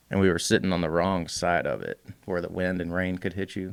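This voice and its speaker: A man with a very deep, low pitch talks in a flat monotone with a Southern US accent on a very clean recording with a silent background. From US South (Alabama). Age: 30s. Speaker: custom bike builder. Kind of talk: casual chat.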